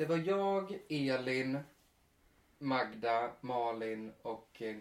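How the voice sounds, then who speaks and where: A man at medium pitch. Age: 30s. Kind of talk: casual chat. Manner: animated.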